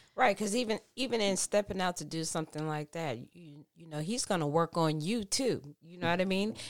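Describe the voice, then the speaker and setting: A woman's plain, everyday voice, fairly low in pitch and fairly quick, with hardly any pauses, lively intonation and big swings in loudness, on a very clean recording with a silent background. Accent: American. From Texas. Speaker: pastor's kid, friend of host. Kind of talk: casual chat. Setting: home recording.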